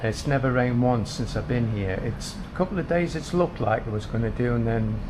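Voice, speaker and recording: A man with an English accent speaks with ordinary pitch variation amid noticeable background noise and audible room echo. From Britain. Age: 60s. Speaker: vlogger. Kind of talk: casual vlog narration. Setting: outdoors walking. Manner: chatty.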